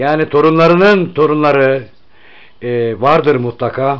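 A man's very slow speech with fairly even intonation. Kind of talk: village interview.

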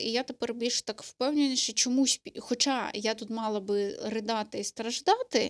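Recorded dry and close with no echo, a woman is heard on a very clean track with a silent background. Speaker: vlogger. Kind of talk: casual chat. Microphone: studio microphone.

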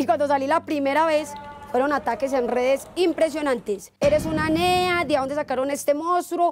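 A woman's high-pitched voice in a strong Paisa accent, with lively intonation, a moderate pace and music in the background. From Antioquia, Colombia. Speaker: TV news presenter. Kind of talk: interview answer. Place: garden. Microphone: lapel.

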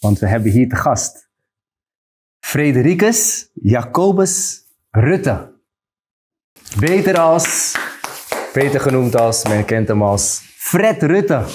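Speaking very slowly with long, frequent pauses, a man's somewhat breathy voice swings very widely in pitch. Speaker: podcast host. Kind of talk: interview introduction. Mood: friendly, laughing. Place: studio. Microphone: lapel.

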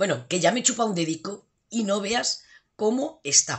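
This woman's fairly high voice moves through very wide pitch swings. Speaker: cooking youtuber. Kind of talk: cooking tutorial. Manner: animated.

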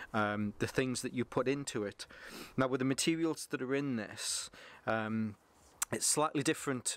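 At a moderate pace, a man speaks with fairly even intonation in a dry recording with no echo. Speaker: gear reviewer. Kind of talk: product review vlog. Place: garden.

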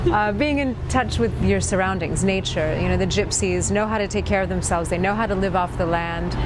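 We hear a woman talking. The background noise is loud. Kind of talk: interview answer. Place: cafe. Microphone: camera far.

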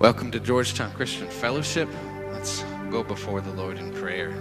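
Clear music plays behind a man who talks at a moderate pace in a fairly low voice. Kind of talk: spoken prayer. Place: church. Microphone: studio mic.

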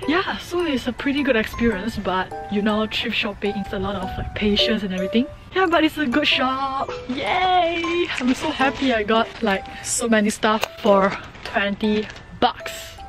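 A woman talks at a moderate pace in dry sound with no echo. Clear music plays in the background. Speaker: vlogger. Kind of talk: casual vlog chat. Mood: excited, happy. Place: street. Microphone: phone near.

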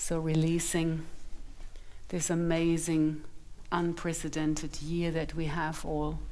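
At a very slow pace, a woman speaks in a fairly low, monotone voice with flat intonation. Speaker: meditation guide and sound bath facilitator. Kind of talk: guided meditation. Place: home room.

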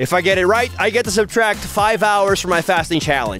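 A man's voice sounds dry with no echo, with faint music in the background. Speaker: YouTuber. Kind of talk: casual vlog chat. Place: kitchen. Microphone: phone near.

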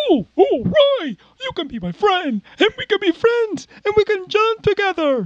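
An extremely high put-on character voice moves at a fairly slow pace with hardly any pauses. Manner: cartoonish, cheery.

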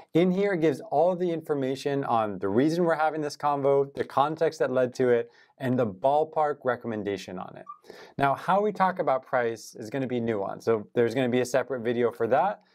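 Against a quiet background, a man speaks at a fairly quick pace. His intonation is lively. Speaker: sales trainer. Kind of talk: tutorial. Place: studio.

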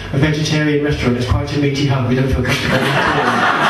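There is noticeable background noise and audible room echo as a man speaks. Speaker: stand-up comedian. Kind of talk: stand-up comedy, anecdotal storytelling with deadpan absurd punchlines. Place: stage.

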